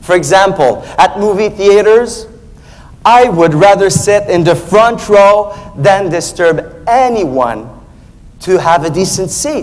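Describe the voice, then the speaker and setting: A man with a French accent speaks at a high pitch with lively intonation. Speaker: speech contest competitor. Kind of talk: contest speech.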